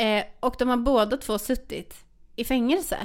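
The recording of this woman is very clean, and the background is completely silent. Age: 40s. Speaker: podcast co-host. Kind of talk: casual chat.

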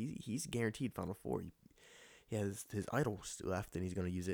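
A man with a very deep, low voice and ordinary pitch variation is heard in a dry, close sound with no echo on a very clean recording with a silent background. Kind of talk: solo casual commentary. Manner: rambling, fast.

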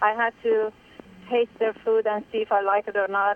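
With a Persian accent, a woman speaks at medium pitch and a moderate pace. Her intonation is monotone and flat, with noticeable background noise. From Iran. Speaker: caller, business owner. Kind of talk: phone-in opinion. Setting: phone call.

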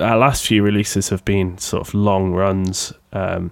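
Speaking with a Sheffield accent, a man uses a fairly low pitch at a fairly slow pace. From Sheffield, England. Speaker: podcaster and record label co-owner. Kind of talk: casual solo podcast monologue. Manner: casual, chatty, self-deprecating.

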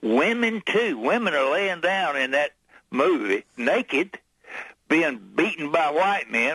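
An American-accented voice swings very widely in pitch, with vocal fry and a bright, sharp tone. The sound is dry and close, with no echo. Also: man. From US Midwest, Missouri. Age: 70s. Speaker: political activist. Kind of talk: heated debate.

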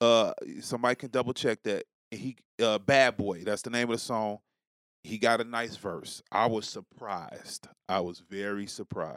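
With an American accent, a man speaks in an unremarkable speaking voice at a medium pitch with fairly even intonation, on a very clean recording with a silent background. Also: moderate pace, dry, close sound with no echo. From New York City. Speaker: podcast guest. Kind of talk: casual chat.

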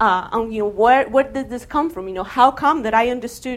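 At a fairly quick pace, a woman talks in a fairly high pitch. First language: not English. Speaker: game studies researcher. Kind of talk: lecture. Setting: stage with audience.

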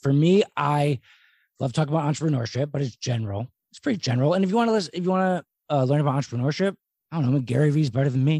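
A somewhat breathy man with an American accent and a fairly high pitch, ordinary pitch variation and a very fast pace, recorded dry, close and very cleanly with no echo against a silent background. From Philadelphia, US. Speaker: podcast host. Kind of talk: casual interview chat.

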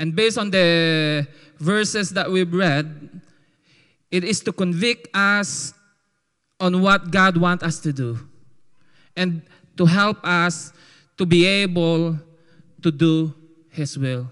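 A man with a Filipino accent speaks very slowly in a high pitch, with a bright, sharp tone, ordinary pitch variation and long, frequent pauses. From Philippines. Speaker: testimony giver. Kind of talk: testimony. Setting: church. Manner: animated.

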